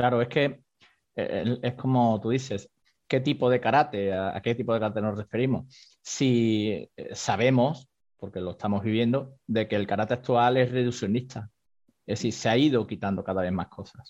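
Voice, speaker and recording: In a quiet background, a man with an ordinary speaking voice talks at a medium pitch and moderate pace with fairly even intonation. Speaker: karate teacher practicing several martial arts. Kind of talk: interview discussion.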